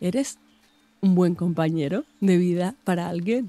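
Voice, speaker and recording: The tone is dark and mellow, somewhat breathy. The pace is fairly slow. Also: woman, dry, close sound with no echo. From Extremadura, Spain (Mérida). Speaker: nutritionist. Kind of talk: casual chat.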